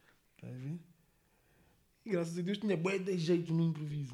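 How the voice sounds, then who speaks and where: At a very fast pace, a man talks in a somewhat breathy voice with a dark, mellow tone. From Portugal, Monte da Caparica (Almada), lived in England. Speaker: rapper. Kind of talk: casual interview. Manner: slangy, repetitive filler (está a saber, mano).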